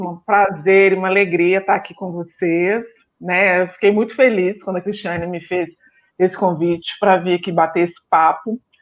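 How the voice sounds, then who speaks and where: A speaker with a Minas Gerais accent. The intonation stays fairly even. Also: woman. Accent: Minas Gerais (mineiro). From Brazil, Belo Horizonte (Minas Gerais). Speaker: psychologist. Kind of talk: live-stream interview.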